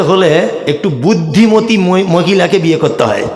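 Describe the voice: A man's high-pitched voice with lively intonation, at a moderate pace, amid audible room echo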